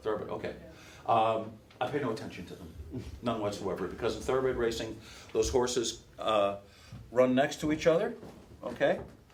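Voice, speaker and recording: A man with a medium pitch and ordinary pitch variation talks at a fairly quick pace, somewhat breathy. His delivery has long, frequent pauses and big swings in loudness. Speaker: race caller, workshop instructor. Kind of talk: workshop lecture to an audience, casual and anecdotal.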